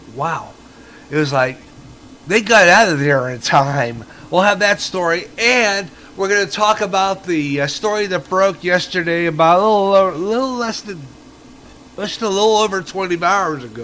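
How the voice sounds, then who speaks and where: A man with a raised, projected voice and high pitch, over noticeable background noise. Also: lively intonation, moderate pace. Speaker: internet radio host. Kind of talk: radio news and comment. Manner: casual, conversational.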